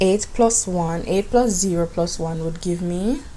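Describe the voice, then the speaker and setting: Speaking at a very slow pace, a woman with a fairly low pitch talks with a Jamaican accent. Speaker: math teacher. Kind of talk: classroom math lesson.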